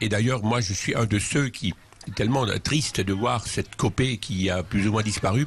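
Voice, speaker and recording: At a moderate pace, a man speaks in a fairly low pitch with ordinary variation. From Alsace, Schiltigheim near Strasbourg. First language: Alsatian (speaking French). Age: 60s. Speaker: charity leader and author. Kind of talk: interview. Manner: hesitant with many fillers.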